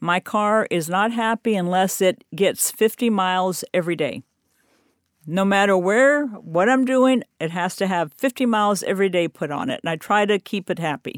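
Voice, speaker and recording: A woman with a plain, everyday voice speaks at a moderate pace with lively intonation. The recording is very clean with a silent background, and the sound is dry and close with no echo. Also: medium pitch for a woman. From US military family, raised partly in Germany and Panama. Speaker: retiree and traveler. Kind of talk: interview.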